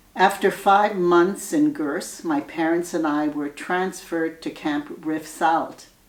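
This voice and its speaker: A woman talks very slowly while noticeable noise runs in the background. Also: fairly low pitch for a woman, ordinary pitch variation, hardly any pauses. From Germany (Lörrach) and France, left as a child. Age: 80s+. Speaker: Holocaust survivor. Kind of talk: testimony. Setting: recorded video address. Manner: formal.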